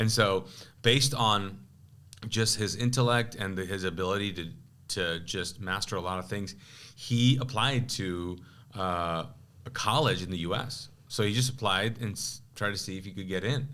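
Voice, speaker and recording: In a Pakistani accent, someone speaks at a moderate pace with a bright, sharp tone, and audible room echo. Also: man, fairly low pitch for a man, ordinary pitch variation. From Kuwait, Pakistani family. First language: Urdu. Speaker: pastor. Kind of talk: testimony; casual chat. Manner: halting.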